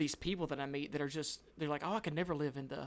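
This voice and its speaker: A man with a Southern US accent talks at a very fast pace and a fairly high pitch. His intonation is fairly even, with vocal fry. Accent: Southern American. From US South. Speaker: podcast co-host. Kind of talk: casual chat. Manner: loud.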